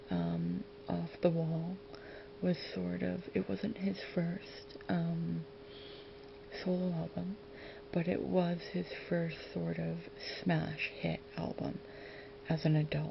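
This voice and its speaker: Soft-spoken words arrive at a very slow pace with long, frequent pauses, against noticeable background noise. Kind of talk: ASMR.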